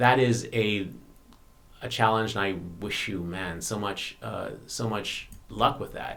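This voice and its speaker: A man at a very slow pace, fairly low in pitch, with fairly even intonation, big swings in loudness, long, frequent pauses, and audible room echo. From Bahamas. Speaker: YouTuber. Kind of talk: live stream Q&A. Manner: halting.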